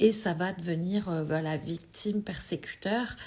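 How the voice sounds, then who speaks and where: A woman's fairly low-pitched, somewhat breathy voice with a dark, mellow tone and ordinary pitch variation. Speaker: energy healing coach. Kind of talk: live stream talk. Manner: halting.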